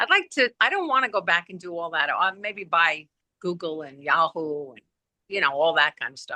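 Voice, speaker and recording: In a strong Brooklyn accent, a woman talks at a moderate pace in a bright, sharp tone, with a dry, close sound and no echo. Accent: thick Brooklyn. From Brooklyn, New York. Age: 60s. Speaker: podcast co-host. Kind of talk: casual chat.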